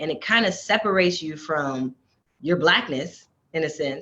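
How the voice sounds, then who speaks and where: A woman with an American accent talks at a moderate pace. It is a normal speaking voice. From US South. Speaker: actress. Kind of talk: interview conversation.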